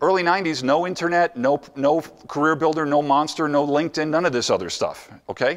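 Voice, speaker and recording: Speaking at a fairly quick pace, a man with a fairly high pitch keeps his loudness very even. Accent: American. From New Jersey. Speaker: motivational speaker. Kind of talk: conference presentation. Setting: stage with audience. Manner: animated; fast.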